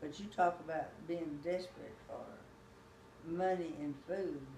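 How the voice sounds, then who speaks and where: A woman speaks with fairly low pitch and fairly even intonation over noticeable background noise. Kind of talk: interview answer.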